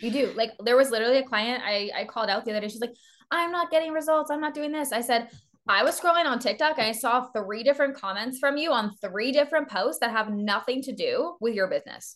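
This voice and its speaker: Against a quiet background, a woman with a Canadian accent speaks very fast at a high pitch with ordinary pitch variation. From eastern Canada. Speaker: business mentor. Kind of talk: interview. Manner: animated.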